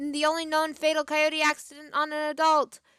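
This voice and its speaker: A woman uses a raised, projected voice, high in pitch and bright, sharp in tone. Her intonation is monotone and flat at a moderate pace, in a dry, close sound with no echo. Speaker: streamer. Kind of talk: live stream reading aloud with commentary.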